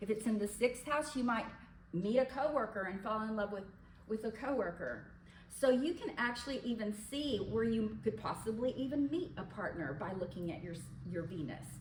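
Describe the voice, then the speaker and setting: A woman's fairly high voice with lively intonation at a moderate pace, with audible room echo. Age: 70s. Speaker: astrologer. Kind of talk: lecture.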